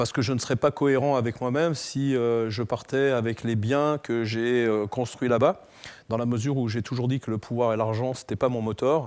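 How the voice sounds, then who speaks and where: A man with fairly even intonation holds a medium pitch and a moderate pace. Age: 60s. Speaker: entrepreneur and fitness figure. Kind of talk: interview. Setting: studio. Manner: hesitant, many fillers.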